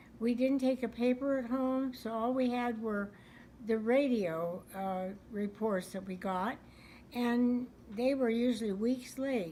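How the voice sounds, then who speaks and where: Fairly high in pitch yet dark and mellow in tone, a woman speaks in an American accent. She keeps a fairly slow pace with ordinary pitch variation. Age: 80s+. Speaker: World War Two era eyewitness. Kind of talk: interview answer.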